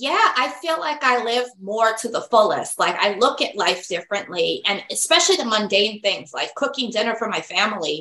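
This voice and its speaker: A woman's fairly high voice at a moderate pace, lively in intonation, an unremarkable speaking voice. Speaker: psychic medium and podcast host. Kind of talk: interview on a podcast, casual and friendly.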